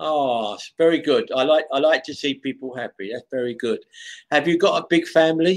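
Someone with a London accent speaks over a quiet background. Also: man, fairly high pitch for a man, ordinary pitch variation. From London, England. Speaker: online English tutor. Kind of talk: casual chat. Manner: slow. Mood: friendly, animated. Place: home room. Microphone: video call.

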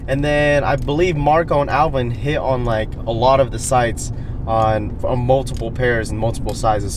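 Noticeable background noise surrounds a man who talks at a moderate pace with hardly any pauses, the sound dry with no echo. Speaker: sneaker vlogger. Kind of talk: casual vlog chat. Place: car. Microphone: camera far.

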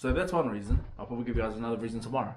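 A man speaks with ordinary pitch variation. There is light background noise. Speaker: vlogger. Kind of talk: casual vlog chat. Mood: relaxed, laughing. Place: home room. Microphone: phone near.

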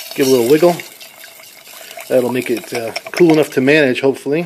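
With noticeable background noise behind him, a man speaks with ordinary pitch variation. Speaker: DIY car hobbyist. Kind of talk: tutorial talk to camera. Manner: hesitant, with stutters and audible breathing. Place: garage. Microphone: phone near.

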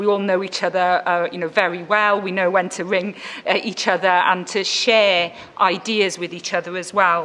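A woman speaks in a Welsh accent at a moderate pace. Her intonation is monotone and flat. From Wales. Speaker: panel chair. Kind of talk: panel moderation. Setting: stage with audience. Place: hall. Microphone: podium.

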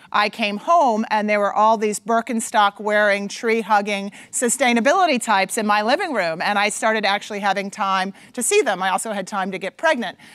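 Against a quiet background, the talking moves at a fairly quick pace. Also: woman, ordinary pitch variation. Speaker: conference speaker. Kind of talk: conference talk. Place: stage. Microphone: lapel.

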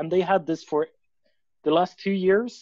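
A man's voice, dry sound with no echo, quiet background. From Sweden, Stockholm; Sweden. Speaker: mathematics student presenter; presenter. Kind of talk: seminar presentation. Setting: video call. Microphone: video call.

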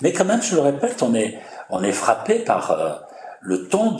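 Light background noise and audible room echo surround a man's speech. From France. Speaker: journalist interviewer. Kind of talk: interview. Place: meeting room.

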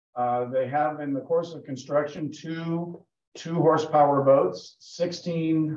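A man speaks with ordinary pitch variation and audible room echo. The background is quiet. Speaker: presenter. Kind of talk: lecture. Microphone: video call.

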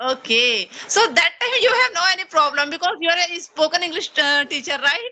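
A speaker with an Indian accent talks in a raised, projected voice at a moderate pace. The pitch swings very widely. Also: woman, extremely high pitch for a woman. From India (Chhattisgarh). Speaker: English learner and YouTuber. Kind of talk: casual English practice conversation. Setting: video call. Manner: halting, nervous. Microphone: video call.

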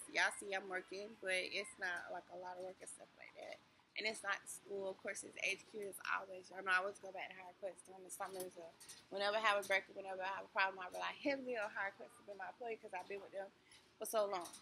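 A woman speaks at a very fast pace in a monotone, flat intonation. Her loudness swings widely, with light background noise behind her. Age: 40s. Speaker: vlogger. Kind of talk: casual vlog talk to camera. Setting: in a store. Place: shop. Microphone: phone near.

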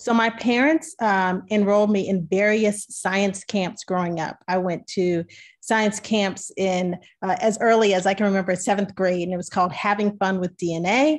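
A woman with an American accent speaks at a moderate pace with ordinary pitch variation against a quiet background. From Maryland, US. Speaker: physician scientist; presenter. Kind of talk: webinar presentation. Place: home room. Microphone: webcam.

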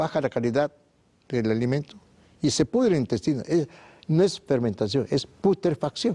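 At a moderate pace with long, frequent pauses, a man with a fairly high pitch and a dark, mellow tone uses lively intonation and very even loudness. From Mexico. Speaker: naturopathic doctor, sanatorium founder; guest. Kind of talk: TV interview. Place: studio. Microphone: lapel.

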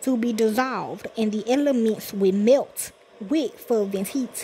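Here a woman has a fairly high pitch and ordinary pitch variation. It is an unremarkable speaking voice. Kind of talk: sermon / scripture reading. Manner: casual, conversational, preacher-like.

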